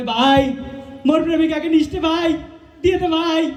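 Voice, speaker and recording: There's a clear echo on this recording. A man does a put-on character voice at an extremely high pitch. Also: moderate pace. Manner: pleading.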